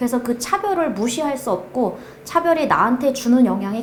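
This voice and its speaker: A woman with a North Korean accent, fairly high in pitch, with lively intonation at a moderate pace over noticeable background noise. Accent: North Korean dialect, noticed on phone calls. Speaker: project manager, North Korean defector. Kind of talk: interview testimony.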